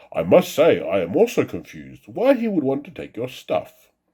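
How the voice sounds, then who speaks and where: A man puts on a croaky character voice. He keeps a moderate pace. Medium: read story.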